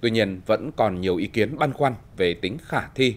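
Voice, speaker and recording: Speaking at a moderate pace, a man uses a fairly low pitch and lively intonation. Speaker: TV news anchor. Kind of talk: news reading. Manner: formal. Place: studio.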